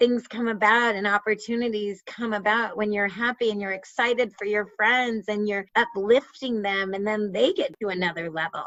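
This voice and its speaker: At a moderate pace, a woman talks in an animated tone with hardly any pauses. Her voice sits fairly high. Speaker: patient advocate. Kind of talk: interview. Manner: loud.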